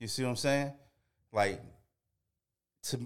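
A man talks in an American accent. The recording is very clean, and the background is silent. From US South. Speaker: podcast co-host. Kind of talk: casual chat.

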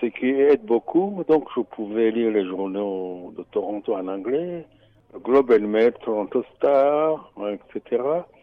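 A man's medium-pitched voice, lively in intonation, at a very slow pace. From Burundi. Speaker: radio volunteer and finance columnist. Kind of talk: interview. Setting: studio.

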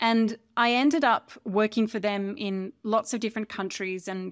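A woman with an Australian accent, fairly even intonation, and a dry, close sound with no echo. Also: very clean recording, silent background. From Australia, rural farm. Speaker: cybersecurity consultant, former prosecutor. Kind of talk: interview.

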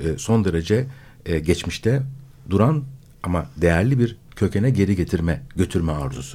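A man's dark, mellow voice with lively intonation, on a very clean recording with a silent background. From Istanbul, Turkey. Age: 50s. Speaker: philosopher. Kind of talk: radio discussion. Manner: halting, many filler sounds.

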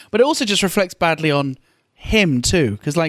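Lively intonation runs through speech at a fairly quick pace. The sound is dry and close, with no echo. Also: man. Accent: British. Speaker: podcast co-host and comedian. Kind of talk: casual chat.

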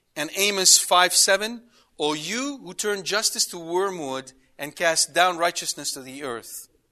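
Against a quiet background, a man talks in a high pitch with a bright, sharp tone and lively intonation. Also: fairly slow pace. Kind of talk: lecture. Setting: lecture to a live audience. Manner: zealous, animated.

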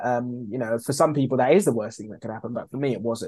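Speaking in a London accent, a man uses a dark, mellow tone and ordinary pitch variation. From East London, England. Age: 30s. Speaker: food brand founder. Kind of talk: interview.

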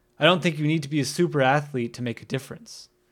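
In a plain, everyday voice, a man with an American accent talks at a fairly high pitch with fairly even intonation, on a very clean recording with a silent background. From US Northeast, northern New Jersey. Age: 30s. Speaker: podcast host, skateboarder. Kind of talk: solo podcast monologue.

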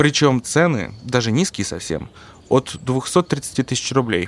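His voice sits at medium pitch, a man speaking with lively intonation. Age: 60s. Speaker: farmer, former businessman. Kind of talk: testimony.

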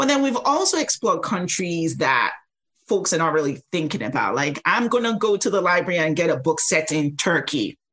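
Pitch swings very widely as the words come at a fairly quick pace. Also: woman, fairly low pitch for a woman, very even loudness. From Nigeria. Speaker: children's book subscription founder. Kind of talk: casual interview.

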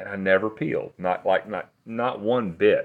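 At a moderate pace, someone speaks with an American accent against a quiet background. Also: man. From East Tennessee. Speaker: regenerative farmer and skincare entrepreneur. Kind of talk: casual chat. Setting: in a house in rural Tennessee.

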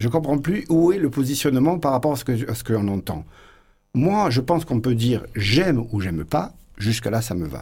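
A man with a dark, mellow tone and vocal fry speaks at a moderate pace and medium pitch, with very wide pitch swings. The recording is very clean, with a silent background. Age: 50s. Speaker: flamenco guitarist. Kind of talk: radio interview.

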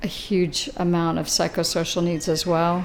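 Against noticeable background noise, a woman with fairly low pitch speaks in a monotone, flat intonation. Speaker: physician assistant. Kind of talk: interview soundbite in news report. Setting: at ribbon cutting event.

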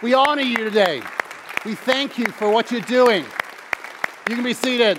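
The voice has an animated tone, with crowd noise in the background. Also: man. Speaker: guest preacher. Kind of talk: sermon. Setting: church with congregation.

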